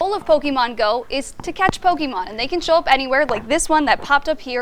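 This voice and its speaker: Noticeable background noise is present. The words come out very fast. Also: woman. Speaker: TV news reporter and anchor. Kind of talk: TV news report.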